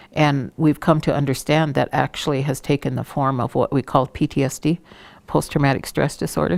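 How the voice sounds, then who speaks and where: Very deep, low pitch from a woman with vocal fry and fairly even intonation, in a dry, close sound with no echo. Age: 60s. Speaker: Native elder and cultural trainer. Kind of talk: interview monologue on culture. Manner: reflective, with frequent hesitations.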